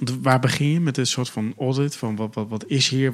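A man speaks in an ordinary speaking voice at a medium pitch. His pace is moderate and his intonation fairly even. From Netherlands, Rotterdam. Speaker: podcast co-host, PR agency. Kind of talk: interview. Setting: studio.

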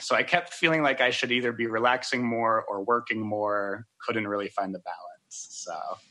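With a normal speaking voice, a man talks at a medium pitch and a moderate pace, with ordinary pitch variation and hardly any pauses. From US South, Georgia. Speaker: dating contestant. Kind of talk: casual chat on a date. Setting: outdoors in the woods, on a phone.

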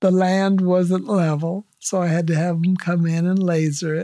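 A woman speaks with an American accent at a moderate pace, her pitch fairly low. Her tone is dark and mellow, and her intonation stays fairly even. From Lemoore, California. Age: 70s. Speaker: retired teacher and farmer. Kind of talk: interview.

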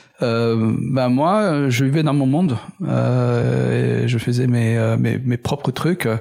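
A man speaks at a very slow pace. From Middle East. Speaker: entrepreneur and engineer. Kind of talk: interview conversation. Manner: hesitant, many fillers.

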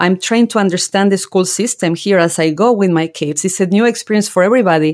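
With a Spanish accent, a woman talks at a very fast pace in a medium pitch, her loudness very even and her pitch variation ordinary. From Argentina (General Belgrano, rural Buenos Aires province). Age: 40s. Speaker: author and leadership coach. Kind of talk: interview conversation.

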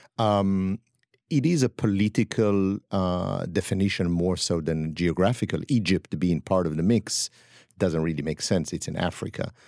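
A man's very deep, low voice with a dark, mellow tone and ordinary pitch variation, dry and close with no echo, on a very clean recording with a silent background. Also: moderate pace. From northern Israel. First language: Hebrew. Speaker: chef and spice blender. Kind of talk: casual interview. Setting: studio.

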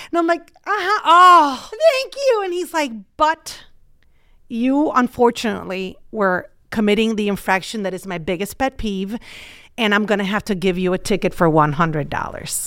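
On a very clean recording with a silent background, a woman with a bright, sharp tone speaks at a moderate pace and fairly high pitch, her pitch swinging very widely. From Puerto Rico. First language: Spanish. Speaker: TV reporter. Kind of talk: casual chat.

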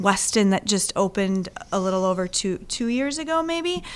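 On a very clean recording with a silent background, a woman talks at a moderate pace in an unremarkable speaking voice of medium pitch, with lively intonation. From Wisconsin, Milwaukee suburbs. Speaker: tourism organization executive. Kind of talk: interview. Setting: office.

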